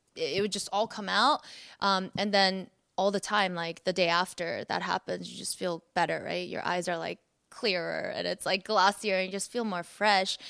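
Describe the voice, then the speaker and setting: A woman speaks at medium pitch with a bright, sharp tone and some vocal fry. Her pace is moderate and her intonation fairly even, in a very clean recording with a silent background. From South Korea. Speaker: singer. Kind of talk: casual interview. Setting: on location at a photoshoot.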